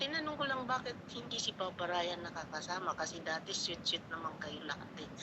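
A woman's fairly low-pitched voice in a Bisaya accent, at a fairly quick pace with hardly any pauses and very wide pitch swings, over noticeable background noise. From Visayas, Philippines. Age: old. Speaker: caller, viewer. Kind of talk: casual chat.

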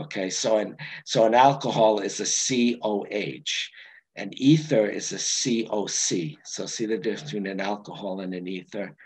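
A fairly low-pitched man at a fairly slow pace, with ordinary pitch variation, big swings in loudness and a quiet background. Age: 60s. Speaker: astronomy presenter; presenter. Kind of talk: lecture. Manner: halting. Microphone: video call.

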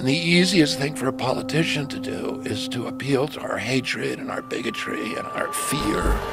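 A man talks with hardly any pauses. The sound is dry with no echo, and loud music plays in the background. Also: moderate pace. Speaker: podcast guest, candidate. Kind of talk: interview answer. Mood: earnest, serious political argument. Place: studio. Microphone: studio mic.

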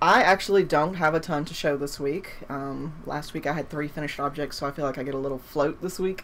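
Her pitch is very deep and low for a woman. It rises and falls in an ordinary way. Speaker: podcast co-host. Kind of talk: casual podcast chat. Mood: relaxed, laughing. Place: home room. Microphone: webcam.

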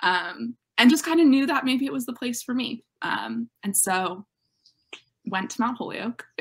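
A woman with an American accent, high-pitched and lively in intonation, at a fairly slow pace over a quiet background. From Western Massachusetts, Northampton; Western Massachusetts. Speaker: college student athlete; interviewee. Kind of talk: interview. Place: home room.

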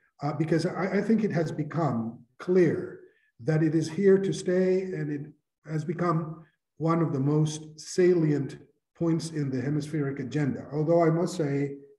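Audible room echo carries a man's dark, mellow voice over a quiet background. He speaks with fairly even intonation. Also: fairly slow pace. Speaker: conference host. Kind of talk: formal welcome speech. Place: office. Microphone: webcam.

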